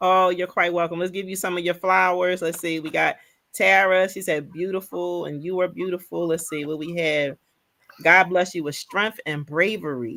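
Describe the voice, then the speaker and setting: The tone is bright and sharp. Delivery comes at a moderate pace with fairly even intonation. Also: woman, fairly low pitch for a woman. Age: 50s. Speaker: livestream host. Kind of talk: casual chat.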